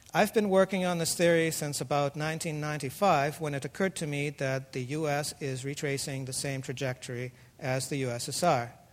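A man with a Russian accent, fairly high pitch and ordinary pitch variation. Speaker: author and engineer. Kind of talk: lecture. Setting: stage with audience.

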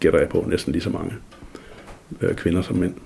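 This man's voice is very deep and low in pitch. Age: 60s. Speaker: journalist, former local radio DJ. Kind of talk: interview. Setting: at home.

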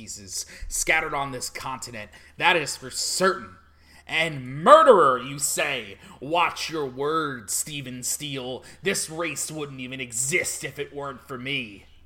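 Using a put-on character voice, a man speaks at a fairly high pitch. The pace is fairly slow. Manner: self-important, dramatic.

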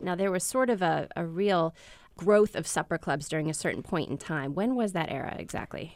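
Heard on a very clean recording with a silent background, a woman with an American accent has an ordinary speaking voice, fairly low in pitch, at a fairly quick pace. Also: lively intonation. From US Midwest. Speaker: food writer and interviewer. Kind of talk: interview.

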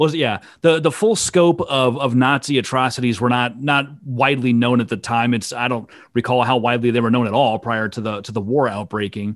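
A Midwestern American accent at a fairly quick pace, with ordinary pitch variation, on a very clean recording with a silent background. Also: man, medium pitch for a man. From Iowa. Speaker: podcast host, intellectual property lawyer. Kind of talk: casual chat.

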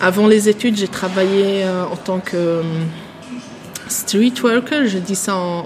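Noticeable background noise sits behind a woman at medium pitch. She speaks at a fairly slow pace with ordinary pitch variation. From Switzerland, Bern region. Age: 20s. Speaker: social work student. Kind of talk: interview. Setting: café. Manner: halting.

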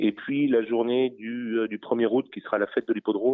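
A man at medium pitch and a moderate pace, with monotone, flat intonation. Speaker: racecourse president. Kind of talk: radio interview. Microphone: metallic, poor reception.

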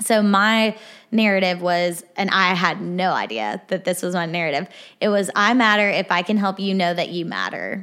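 In a very clean recording with a silent background, a woman speaks at a moderate pace. Her medium-pitched voice has a bright, sharp tone and fairly even intonation. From Arkansas. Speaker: therapist. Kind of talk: casual interview.

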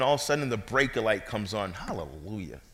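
Audible room echo surrounds a man speaking with an American accent. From Brooklyn, New York. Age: 40s. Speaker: guest preacher. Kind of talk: sermon. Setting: church. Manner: animated.

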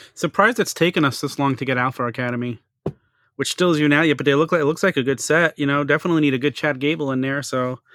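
A man with an American accent talks at a very fast pace, his fairly high pitch moving with ordinary variation. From New York, Staten Island. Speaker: podcast host and figure collector. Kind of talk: casual chat.

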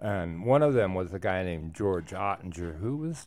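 In an American accent, the voice has a dark, mellow tone and very wide pitch swings at a moderate pace, on a very clean recording with a silent background. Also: man. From Wisconsin, US Midwest. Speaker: rock art specialist. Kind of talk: radio interview.

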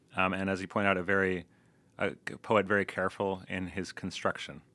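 A man with an American accent talks at a fairly quick pace and a fairly low pitch. It is an ordinary speaking voice on a very clean recording with a silent background. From US, Louisville, Kentucky. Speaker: translator. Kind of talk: interview.

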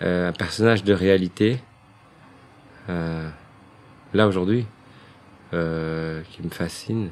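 Very slow and very deep, a man's voice sits at a very low pitch. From Belgium, Brussels. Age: 40s. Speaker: playwright and director. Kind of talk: casual interview. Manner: hesitant, many fillers.

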